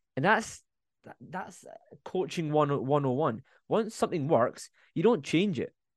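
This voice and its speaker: At a moderate pace, a man with a fairly high pitch speaks with long, frequent pauses. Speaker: podcast host. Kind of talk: podcast discussion.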